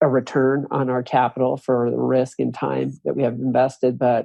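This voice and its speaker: A man speaks at a moderate pace and medium pitch. He has a plain, everyday voice. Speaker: real estate developer. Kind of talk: podcast interview answer.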